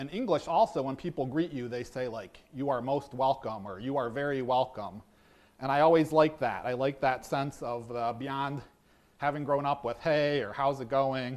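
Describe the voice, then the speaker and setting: Moderate pace and ordinary pitch variation from a man with a fairly high pitch. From US, East Coast or Midwest. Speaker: pastor and seminary teacher. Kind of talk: sermon. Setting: church service. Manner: halting, many fillers; informal.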